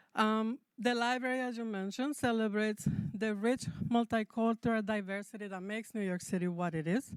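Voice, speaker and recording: In a very clean, dry, close recording with a silent background and no echo, a woman with a Spanish accent speaks at a fairly high pitch with fairly even intonation. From Mexico. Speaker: public library representative. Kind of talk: public address.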